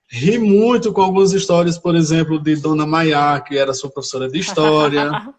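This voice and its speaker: Speaking at a moderate pace with hardly any pauses, a man with a northeastern Brazilian accent has a fairly high pitch and ordinary pitch variation. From Brazil, Rio Grande do Norte (Areia Branca). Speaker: teacher. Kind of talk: live stream interview. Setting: Instagram live video.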